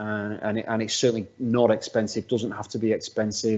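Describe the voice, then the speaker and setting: A man with a northwest English accent, medium in pitch, at a fairly quick pace. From northwest England. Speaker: workplace assessment specialist. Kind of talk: webinar presentation. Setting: video call. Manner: halting, many repeated words.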